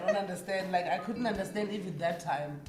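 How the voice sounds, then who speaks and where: Speaking with a South African accent, a woman with a fairly low pitch is heard over background music, with audible room echo. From South Africa, Cape Town. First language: Xhosa. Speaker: musician, creative entrepreneur. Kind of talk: casual interview.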